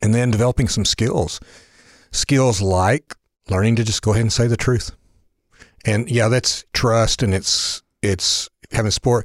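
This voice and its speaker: With long, frequent pauses, a man speaks at a moderate pace and medium pitch in a somewhat breathy voice with fairly even intonation and very even loudness, the sound dry and close with no echo on a very clean recording against a silent background. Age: 60s. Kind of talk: casual chat.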